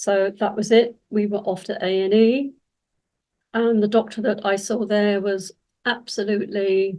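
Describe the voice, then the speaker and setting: In a southern English accent, the speech has a dark, mellow tone, monotone, flat intonation and a fairly slow pace. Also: woman, medium pitch for a woman. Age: 70s. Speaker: cancer survivor and women's health advocate. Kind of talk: personal testimony. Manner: hesitant, with fillers.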